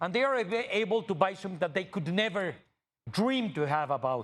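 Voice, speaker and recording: With a Mexican accent, a man is speaking. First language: Spanish. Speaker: TV interviewer. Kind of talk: interview conversation. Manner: halting.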